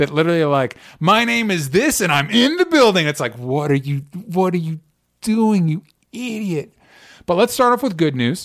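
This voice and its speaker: A high-pitched man with an American accent, very wide pitch swings and a moderate pace, on a very clean recording with a silent background. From US South (Florida). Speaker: podcast host. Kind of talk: casual chat.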